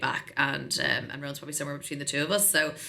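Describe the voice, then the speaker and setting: A woman's very deep, low voice with a bright, sharp tone, in an Irish accent. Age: 40s. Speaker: tech sales executive. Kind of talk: podcast interview. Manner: animated.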